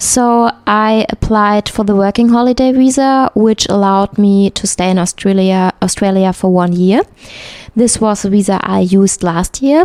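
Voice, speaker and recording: In a German accent, a woman talks at a moderate pace and medium pitch, with ordinary pitch variation, very even loudness, and a dry, close sound with no echo. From Germany, north-west (Hamm). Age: 30s. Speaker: textile engineer. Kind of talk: interview. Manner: hesitant, frequent fillers.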